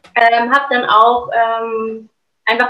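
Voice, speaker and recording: This is a woman speaking. Her tone is bright and sharp. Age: 30s. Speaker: actress, singer and coach. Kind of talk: casual chat.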